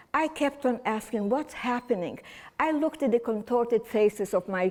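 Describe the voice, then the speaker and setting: Speaking with a non-native accent at a moderate pace, this voice swings very widely in pitch on a very clean recording with a silent background. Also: woman. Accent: foreign. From Romania (Czernowitz region). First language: German. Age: 80s+. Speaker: holocaust survivor speaker. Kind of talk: testimony. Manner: halting.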